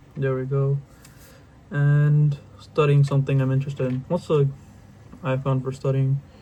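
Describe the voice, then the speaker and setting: Somewhat breathy and dark, mellow in tone, a man's fairly high voice stays monotone and flat at a moderate pace, broken by long, frequent pauses. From outside the US. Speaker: youtuber. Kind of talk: casual interactive drawing tutorial. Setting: home bedroom. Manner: quieter than usual; casual, slangy.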